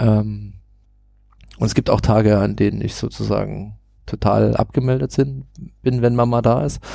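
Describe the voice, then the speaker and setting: A man talks with a slight Saxon accent. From Saxony, Germany. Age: 30s. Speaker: IT consultant and parenting blogger. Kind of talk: casual podcast interview. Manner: hesitant, many filler sounds.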